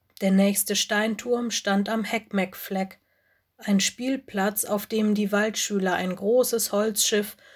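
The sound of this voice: An unforced reading voice with fairly even intonation, over a quiet background.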